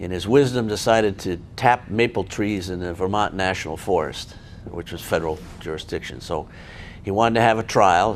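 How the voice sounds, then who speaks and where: A man with an American accent, very deep and low in pitch, ordinary pitch variation, and a fairly quick pace. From Connecticut, US. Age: 70s. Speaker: retired federal judge. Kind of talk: oral history interview. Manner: halting, many false starts.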